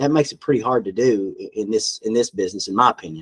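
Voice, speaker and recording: With a Southern US accent, a man talks at a fairly quick pace in a medium pitch. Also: dry, close sound with no echo. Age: 50s. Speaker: farm equipment dealership owner. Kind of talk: podcast interview answer.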